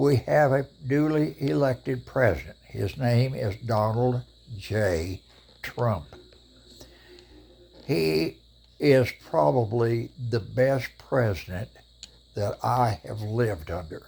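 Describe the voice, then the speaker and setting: A man at medium pitch, somewhat breathy, with lively intonation, a very slow pace and long, frequent pauses. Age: 80s+. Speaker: vlogger. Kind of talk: casual monologue to camera. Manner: opinionated, emphatic.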